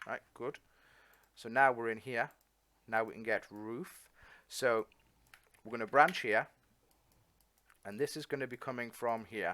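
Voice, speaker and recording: This is a man speaking with an English accent. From England. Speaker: coding tutor. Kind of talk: tutorial. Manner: casual, halting with fillers.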